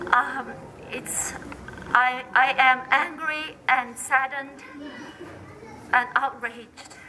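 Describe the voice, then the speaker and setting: A woman speaks very slowly in a high pitch with a Chinese accent, her intonation monotone and flat, with long, frequent pauses. Audible room echo and noticeable background noise surround her voice. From China, Sichuan. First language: Mandarin Chinese. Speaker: activist. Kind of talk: public speech. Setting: candlelight vigil in a temple. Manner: halting.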